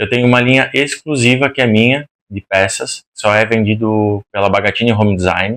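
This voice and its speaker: A man with a strong Rio Grande do Sul accent, medium pitch and fairly even intonation at a moderate pace, in a very clean recording with a silent background and a dry, close sound with no echo. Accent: strong gaúcho accent, strong R. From Rio Grande do Sul, Brazil. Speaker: interior designer. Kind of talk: podcast interview.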